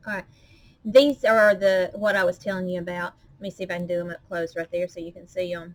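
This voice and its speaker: A woman speaks in a strong Southern US accent at a medium pitch. Her intonation is fairly even, but her loudness swings widely. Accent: strong Southern drawl. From US South, Arkansas. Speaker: crafter. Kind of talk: tutorial. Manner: casual, chatty.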